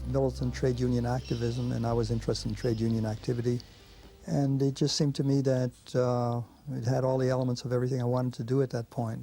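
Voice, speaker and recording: A man speaks very fast. Background music accompanies him. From Belgium, moved to New York at thirteen. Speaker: animal rights activist. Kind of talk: documentary interview.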